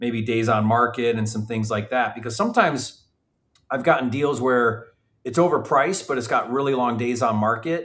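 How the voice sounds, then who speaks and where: Speaking fairly quickly, a man uses a normal speaking voice at a medium pitch. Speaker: real estate investor and educator. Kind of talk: live training. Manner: casual.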